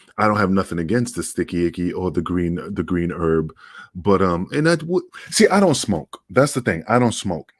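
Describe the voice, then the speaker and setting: On a very clean recording with a silent background, a man with a New York accent speaks in a very deep, low pitch with ordinary pitch variation. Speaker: podcast co-host. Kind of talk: casual chat.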